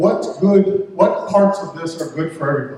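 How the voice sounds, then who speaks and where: A man with an American accent speaks with fairly even intonation. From Detroit, US Midwest. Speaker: town councilman. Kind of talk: campaign speech at candidate forum. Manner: halting, repeats words.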